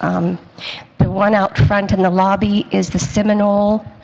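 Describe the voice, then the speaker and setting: Over noticeable background noise, a woman with an American accent speaks at a moderate pace, with medium pitch and fairly even intonation. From South Florida. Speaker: senior center artist. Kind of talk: community presentation.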